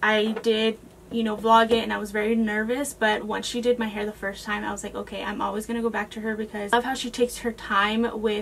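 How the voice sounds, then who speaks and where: Over noticeable background noise, a woman with a fairly high voice rushes at a very fast pace in a flat monotone, with hardly any pauses. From Texas, San Antonio area. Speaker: beauty vlogger. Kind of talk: casual Q&A chat to camera. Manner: casual, filler-heavy (um, like).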